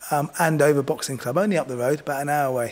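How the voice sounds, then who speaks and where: A man talks at a very fast pace. His voice is fairly high, with fairly even intonation. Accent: southern English. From southern England. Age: 50s. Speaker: boxing coach. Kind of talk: interview. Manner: halting.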